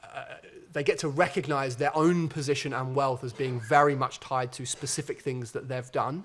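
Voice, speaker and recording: A man with a fairly high, somewhat breathy voice speaks with fairly even intonation. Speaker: sociologist, keynote speaker. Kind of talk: conference Q&A answers. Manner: fast.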